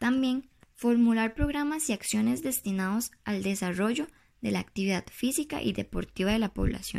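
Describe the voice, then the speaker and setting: A woman's plain, everyday voice, fairly high in pitch, with lively intonation at a moderate pace, on a very clean recording with a silent background. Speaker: presidential candidate. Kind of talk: prepared campaign speech read aloud. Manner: formal, read from script with small repetitions.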